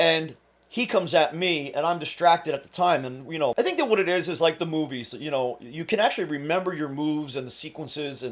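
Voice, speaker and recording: The delivery is fairly quick, and the pitch moves up and down in an ordinary way. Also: man. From New Jersey, Trenton. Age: 40s. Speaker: fitness coach and self-defense instructor. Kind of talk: casual storytelling monologue. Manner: halting, with frequent fillers and repeats.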